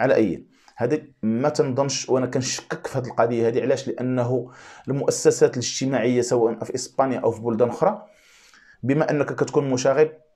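A man with a dark, mellow tone speaks at a moderate pace with fairly even intonation. The background is quiet. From Morocco. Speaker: YouTube commentator. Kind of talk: video monologue commentary. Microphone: lapel.

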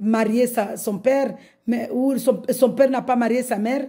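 A woman speaks with a dark, mellow tone at a fairly high pitch. Her intonation is monotone and flat over a quiet background. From Mayotte. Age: 50s. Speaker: religious convert. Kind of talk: testimony. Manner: halting. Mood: joyful, fervent. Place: home room. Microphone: phone near.

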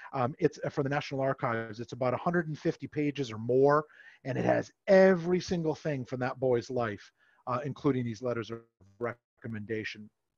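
Against a quiet background, a man with an American accent uses an ordinary speaking voice at a moderate pace, his intonation lively and the sound dry with no echo. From Massachusetts, US. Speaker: camp historian; presenter. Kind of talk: history presentation. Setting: video call. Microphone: headset.

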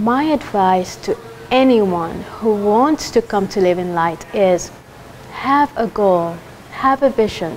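Over light background noise, a woman speaks very slowly with lively intonation and very even loudness. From Kenya. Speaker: culinary school graduate. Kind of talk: testimonial. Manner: animated. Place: hall. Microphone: lapel.

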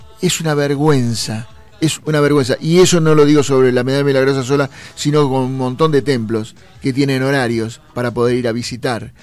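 A man at a medium pitch and a fairly quick pace, with noticeable background noise. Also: fairly even intonation. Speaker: radio host. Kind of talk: casual chat.

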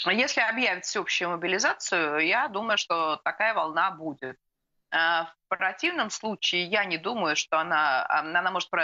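Woman speaking at a fairly slow pace over a quiet background. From Russia. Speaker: political analyst; guest. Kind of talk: live TV interview. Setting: remote video link. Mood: calm, analytical. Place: home room. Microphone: video call.

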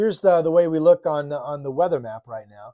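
Lively intonation marks this man's dark, mellow voice. He keeps a moderate pace over a quiet background. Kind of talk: weather forecast explanation. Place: home room. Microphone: lapel.

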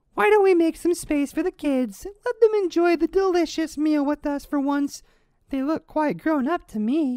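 A woman puts on a cartoonish character voice, pitched high. Her intonation is lively and her pace moderate. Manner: falsely sweet, pushy.

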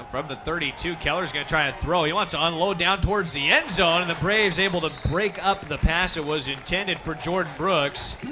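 A man talks at a high pitch and a fairly quick pace. Noticeable background noise runs behind him. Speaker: football play-by-play broadcaster. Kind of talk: sports play-by-play commentary, demo reel. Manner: fast, energetic.

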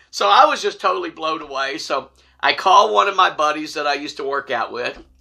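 A man with a fairly high pitch, vocal fry, lively intonation, a bright, sharp tone and a fairly quick pace

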